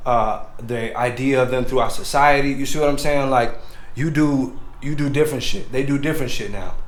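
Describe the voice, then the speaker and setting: Noticeable background noise and audible room echo surround a man speaking at a fairly quick pace in a fairly high pitch. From Texas. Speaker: podcast host. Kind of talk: casual monologue. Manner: animated.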